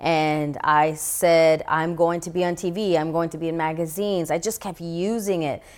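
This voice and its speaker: On a very clean recording with a silent background, a woman with an American accent and an ordinary speaking voice talks at a moderate pace with fairly even intonation and hardly any pauses. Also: fairly low pitch for a woman. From New York City, the Bronx. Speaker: actress and motivational speaker. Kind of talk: testimony. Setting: studio.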